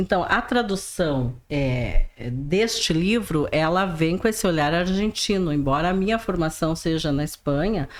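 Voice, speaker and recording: Speaking in a strong rural gaúcho accent, the voice moves at a fairly slow pace with lively intonation and hardly any pauses. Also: woman, fairly low pitch for a woman. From interior of Rio Grande do Sul, Brazil. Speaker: writer and teacher. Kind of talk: podcast interview. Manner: halting, repeats words.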